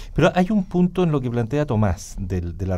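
A man speaks at a medium pitch with a dark, mellow tone. His pitch swings very widely. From Chile. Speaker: radio talk show host. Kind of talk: panel discussion. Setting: radio studio. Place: studio. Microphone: studio mic.

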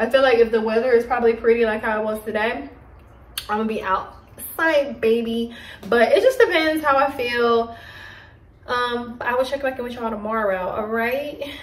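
Amid audible room echo, a woman talks at a high pitch and fairly quick pace with ordinary pitch variation. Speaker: vlogger. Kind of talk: casual vlog chat. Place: kitchen. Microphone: phone near.

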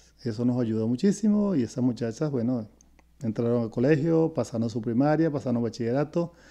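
A man with a Venezuelan accent speaks at a fairly quick pace in a dark, mellow tone. His intonation is lively, and the background is quiet. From Venezuela (Caracas). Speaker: retired educator, host's father; interview guest, teacher. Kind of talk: casual interview; interview answer. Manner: halting, repeats words. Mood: calm, reflective. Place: home room. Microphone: earbuds.

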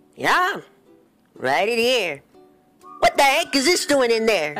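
Over faint music in the background, a man uses a put-on character voice, raised and projected, at an extremely high pitch with very wide pitch swings and a fairly slow pace. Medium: fan dub. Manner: playful, jokey.

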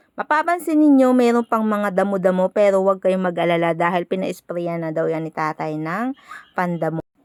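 Recorded with a dry, close sound and no echo, a woman speaks at a fairly quick pace with lively intonation at medium pitch. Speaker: vlogger. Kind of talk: voice-over narration. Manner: halting, stumbling over words.

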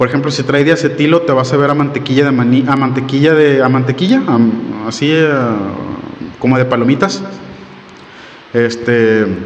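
At a moderate pace, a man with a northern Mexican accent speaks at a fairly high pitch with ordinary pitch variation over light background noise. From Monterrey, northern Mexico; Mexico. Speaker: beer reviewer. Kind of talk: product review. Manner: casual, hesitant with fillers. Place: home room. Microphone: studio mic.

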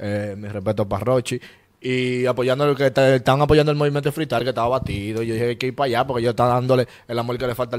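A man at a medium pitch, talking very fast with fairly even intonation. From Dominican Republic, Santo Domingo east. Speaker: rapper; interviewee. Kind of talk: casual interview. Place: studio. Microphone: handheld.

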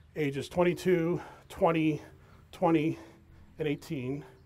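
A man with an American accent speaks at a fairly high pitch. His intonation stays fairly even. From New York City, Queens. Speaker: accountant and guest speaker. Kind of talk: talk to an audience. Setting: outdoor event with audience, microphone. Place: waterside. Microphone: handheld.

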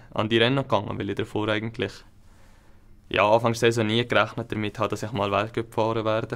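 A man at medium pitch, very fast, in monotone, flat intonation. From Switzerland, Upper Valais; Switzerland. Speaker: alpine ski racer; guest. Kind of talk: interview. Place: studio.

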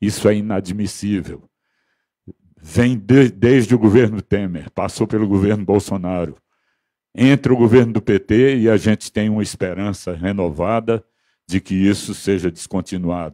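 Against a quiet background, a man speaks at a fairly slow pace in a fairly low pitch, his tone dark and mellow, with ordinary pitch variation. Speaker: union vice-president; union representative speaking at a panel. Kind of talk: union rally speech. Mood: earnest, indignant. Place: meeting room. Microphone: handheld.

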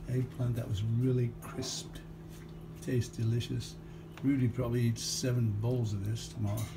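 The speaker talks at a fairly slow pace. Noticeable background noise runs underneath. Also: man. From Liverpool. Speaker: home cook filming his dinner. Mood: relaxed, proud of dinner. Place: kitchen. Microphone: phone near.

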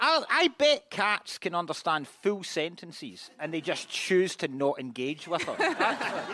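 A man's high-pitched voice with a Scottish accent, very slow, dry with no echo, over light background noise. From Scotland. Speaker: comedian panelist. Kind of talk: comedy panel banter. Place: stage. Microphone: studio mic.

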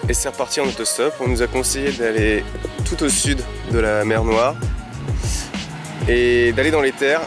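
Music plays behind a man whose loudness stays very even throughout. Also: moderate pace, dry sound with no echo. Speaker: travel vlogger narrator. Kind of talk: travel vlog narration.

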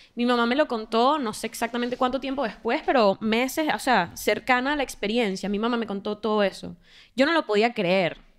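A woman talks at a fairly quick pace in an unremarkable speaking voice. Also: fairly high pitch for a woman, ordinary pitch variation. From Venezuela. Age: 20s. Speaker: podcast co-host. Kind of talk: casual interview conversation. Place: studio. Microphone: studio mic.

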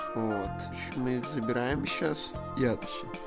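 With clear music playing in the background, a man talks using ordinary pitch variation. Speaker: vlogger. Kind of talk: casual vlog chat. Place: home room. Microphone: phone near.

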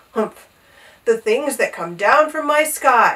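In a put-on character voice, the raspy speech has lively intonation and a fairly slow pace. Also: woman, high pitch for a woman. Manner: muttering, sputtering.

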